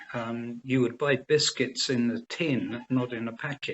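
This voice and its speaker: The man talks at a fairly slow pace in a medium pitch, his intonation monotone and flat. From England, Cambridgeshire area. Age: 70s. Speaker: organic farming advisor. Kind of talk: interview.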